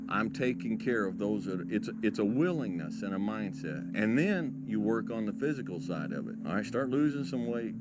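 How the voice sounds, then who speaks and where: A man talks at a moderate pace in a calm tone, with audible echo from the room. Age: middle-aged. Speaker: motivational speaker. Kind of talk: monologue.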